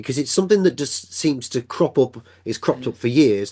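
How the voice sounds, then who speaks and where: Very wide pitch swings at a fairly quick pace over a quiet background. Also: man. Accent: English. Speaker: podcast host. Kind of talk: casual chat.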